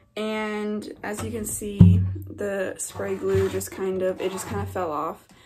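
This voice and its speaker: Music plays in the background as a woman talks very slowly. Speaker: video creator. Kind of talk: casual vlog chat. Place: home room. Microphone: phone near.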